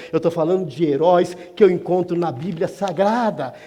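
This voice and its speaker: A man delivers his words at a moderate pace against noticeable background noise. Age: 60s. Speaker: guest preacher. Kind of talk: sermon. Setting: church. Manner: conversational, with repetitions and self-corrections.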